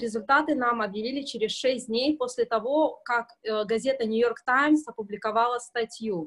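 This woman talks at a moderate pace with a fairly high pitch and ordinary pitch variation. The sound is dry and close, with no echo. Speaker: cruise passenger in quarantine. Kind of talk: casual interview. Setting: video call from hotel corridor.

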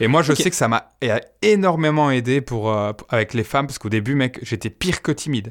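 Over a very clean recording with a silent background, a man with an unremarkable speaking voice talks at a fairly quick pace, medium pitch and lively intonation. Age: 30s. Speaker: YouTuber, dating coach. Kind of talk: casual chat.

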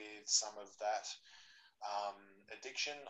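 With an Australian accent, a man talks at a moderate pace in a fairly low pitch with a bright, sharp tone. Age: 40s. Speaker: jiu-jitsu practitioner. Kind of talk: casual chat.

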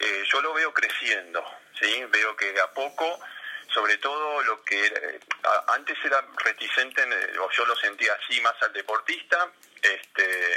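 A man talks fairly slowly, leaving long, frequent pauses, amid noticeable background noise. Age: 50s. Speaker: sports psychologist. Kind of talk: interview.

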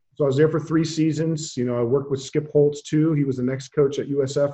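Somewhat breathy and fairly high-pitched, a man speaks at a very fast pace with monotone, flat intonation. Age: 40s. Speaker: football coach. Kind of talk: interview.

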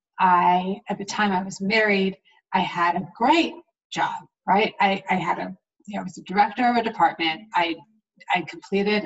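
Somewhat breathy, the woman talks at a fairly quick pace with ordinary pitch variation. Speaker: podcast host and coach. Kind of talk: interview. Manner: effusive.

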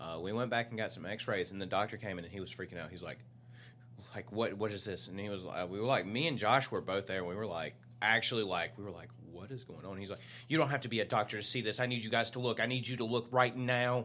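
This man's voice sits fairly low. He talks very fast. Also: ordinary pitch variation. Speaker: co-host of fitness podcast. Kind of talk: casual chat. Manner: halting, disfluent; jovial.

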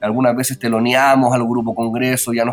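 A man is speaking. Music plays in the background. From Chile, Pirque (Santiago area). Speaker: musician, band vocalist. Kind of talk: radio interview.

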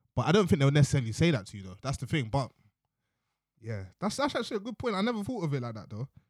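In a south-east London accent, a man talks at a very fast pace with a fairly high pitch, very wide pitch swings and an animated tone. The recording is very clean, with a silent background. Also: big swings in loudness. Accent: south-east London multicultural English. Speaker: podcast co-host. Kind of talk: casual chat.

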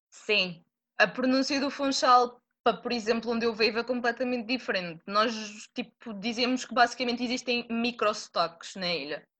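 A woman's fairly high, bright and sharp voice at a moderate pace with ordinary pitch variation, against a quiet background. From Madeira, Portugal. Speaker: student. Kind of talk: casual interview. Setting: video call.

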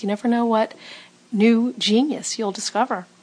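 At a moderate pace, a woman speaks with an American accent in a fairly high pitch. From Los Angeles. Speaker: podcast co-host. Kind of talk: podcast conversation.

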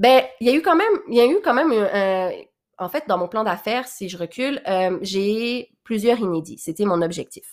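A woman with a fairly high pitch speaks at a moderate pace, her pitch swinging very widely, on a very clean recording with a silent background. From Quebec (Laurentians), born in Réunion. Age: 20s. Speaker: podcast host and boutique owner. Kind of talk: casual monologue.

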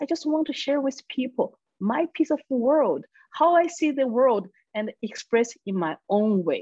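A woman with a Chinese accent speaks at a fairly slow pace, her pitch swinging very widely. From China. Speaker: comedian and public speaker. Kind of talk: casual conversation.

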